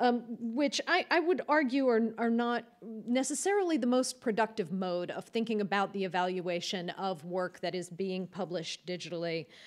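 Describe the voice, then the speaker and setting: The background stays quiet. A woman speaks at a moderate pace. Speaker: keynote speaker. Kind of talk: lecture. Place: hall. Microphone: podium.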